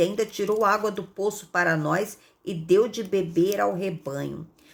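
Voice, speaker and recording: At a fairly slow pace, a woman talks at medium pitch with ordinary pitch variation. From Rio de Janeiro, Brazil. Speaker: Bible teacher. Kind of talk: Bible reading with commentary. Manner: conversational, frequent fillers.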